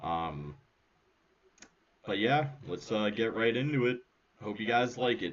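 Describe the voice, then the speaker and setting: A man with vocal fry speaks at a fairly slow pace and medium pitch, with lively intonation and long, frequent pauses. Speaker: podcast host. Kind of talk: episode introduction. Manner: quiet. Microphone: microphone very quiet.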